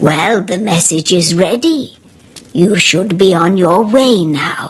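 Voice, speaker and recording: A woman speaks in a put-on character voice at a fairly slow pace. Her pitch is medium, with ordinary variation. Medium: read story.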